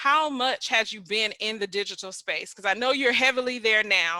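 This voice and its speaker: A woman's bright, sharp voice is heard in a dry, close sound with no echo. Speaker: podcast host. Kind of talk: podcast interview, casual talk.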